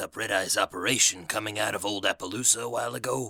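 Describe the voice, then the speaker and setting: Using a raspy, put-on character voice, a man talks at a fairly quick pace on a very clean recording with a silent background. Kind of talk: radio DJ patter. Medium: read story. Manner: casual, jokey, upbeat.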